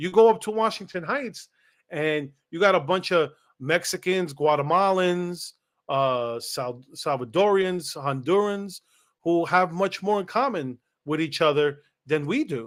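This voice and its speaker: In a New York accent, a man talks at a fairly slow pace and a high pitch with lively intonation, on a very clean recording with a silent background. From New York City, Lower East Side; Puerto Rican. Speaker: political commentary show host. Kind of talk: casual chat. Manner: conversational with many fillers.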